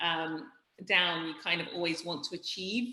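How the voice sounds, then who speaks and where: A woman with a British accent, fairly low in pitch, at a moderate pace, with audible room echo. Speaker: startup founder and CEO. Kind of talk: interview.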